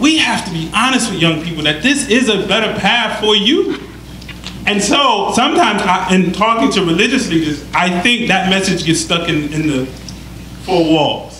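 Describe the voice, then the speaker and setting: A man's high, raised, projected voice in an American accent, moderate in pace with lively intonation, over audible room echo and noticeable background noise. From Detroit, US Midwest. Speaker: panelist, Islamic school vice principal. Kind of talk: panel discussion.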